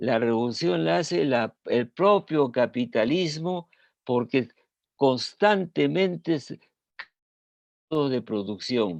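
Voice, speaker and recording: In a dry, close recording with no echo, a man with a medium-pitched voice speaks very slowly, his pitch swinging very widely between long, frequent pauses. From Peru. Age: 80s+. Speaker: scholar and former government official. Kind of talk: panel discussion talk. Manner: halting, with repetitions.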